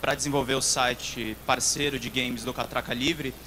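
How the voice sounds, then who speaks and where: Over noticeable background noise, a man speaks with a São Paulo accent. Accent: São Paulo accent with dragged R's. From São Paulo, Brazil. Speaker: games journalist. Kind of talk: conference talk. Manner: hesitant, many filler sounds.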